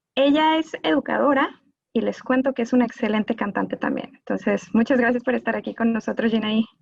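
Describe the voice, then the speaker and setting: Speaking at a fairly quick pace with a Mexican accent, a woman uses a fairly high pitch and ordinary pitch variation. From Mexico. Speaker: gender violence specialist, lawyer. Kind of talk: live panel talk.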